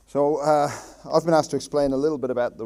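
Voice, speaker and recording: A man's voice with a dark, mellow tone. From Ireland. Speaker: town councillor. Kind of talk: public speech. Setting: public meeting with audience. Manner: hesitant, many fillers.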